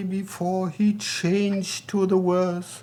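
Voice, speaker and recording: A man with a German accent, high pitch, monotone, flat intonation and a very slow pace. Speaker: vlogger. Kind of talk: casual monologue.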